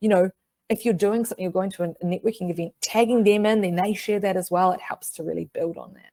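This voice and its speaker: The voice has a dark, mellow tone and a New Zealand accent, with ordinary pitch variation. The sound is dry and close, with no echo. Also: woman. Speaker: marketing webinar presenter. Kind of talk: webinar presentation. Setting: online webinar. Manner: fast.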